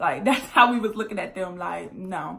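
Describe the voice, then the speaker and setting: Moderate pace and ordinary pitch variation in a woman's speech. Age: 20s. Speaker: YouTuber; vlogger. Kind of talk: storytime vlog. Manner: casual, filler-heavy. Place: home room. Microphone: phone near.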